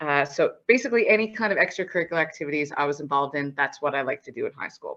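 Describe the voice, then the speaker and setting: With a Newfoundland accent, a woman speaks in a very deep, low voice with a bright, sharp tone. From Newfoundland, Canada (St. John's). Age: 30s. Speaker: accountant and auditor. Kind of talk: presentation to students.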